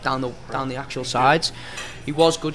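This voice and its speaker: A man talks very fast over noticeable background noise. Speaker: podcast host or panelist. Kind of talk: football discussion, pub chat. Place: bar. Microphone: studio mic.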